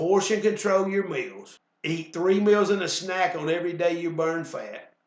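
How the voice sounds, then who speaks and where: A high male voice in a Southern US accent with monotone, flat intonation. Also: moderate pace. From US South. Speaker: weight loss instructor. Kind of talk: sales pitch; instructional class.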